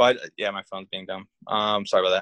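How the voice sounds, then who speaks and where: The speaker is a man with a Californian accent. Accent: Californian American. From Northern California (Humboldt County). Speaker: army veteran. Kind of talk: casual interview.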